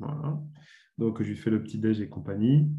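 His pitch is fairly low. It rises and falls in an ordinary way. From Burgundy, France. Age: 40s. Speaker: former sports journalist and author. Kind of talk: interview. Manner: hesitant, many fillers.

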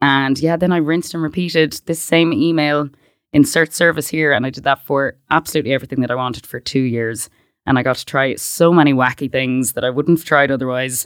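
In a western Irish accent, a woman speaks at a fairly quick pace with a very deep, low pitch. Her intonation stays fairly even, and the recording is very clean with a silent background. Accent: Irish (west of Ireland). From Ireland (Westport, County Mayo). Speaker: startup founder. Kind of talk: interview.

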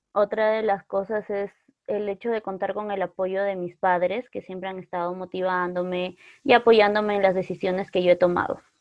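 A woman speaks at a moderate pace with a medium pitch and a monotone, flat intonation. Her loudness swings widely from moment to moment. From northern Peru, Otuzco. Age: 20s. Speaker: psychology student. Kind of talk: casual chat.

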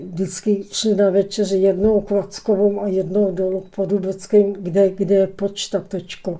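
The woman's pitch sits in the medium range. She speaks very slowly, in a flat monotone. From Czechia, Prague area (Klánovice). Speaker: local elder recounting memories. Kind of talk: interview reminiscence. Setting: studio. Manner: halting, repetitive.

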